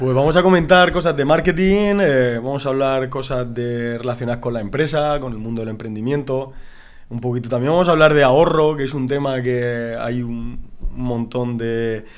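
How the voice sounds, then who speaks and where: A man speaks in a Murcian accent with ordinary pitch variation. The room echo is audible. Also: medium pitch for a man, moderate pace. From Murcia, Spain. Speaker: marketing director. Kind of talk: casual chat.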